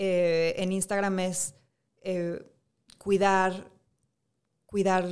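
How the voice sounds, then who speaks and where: A woman with monotone, flat intonation on a very clean recording with a silent background. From Monterrey, Mexico. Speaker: fashion school teacher. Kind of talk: studio interview. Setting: studio. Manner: halting, many fillers.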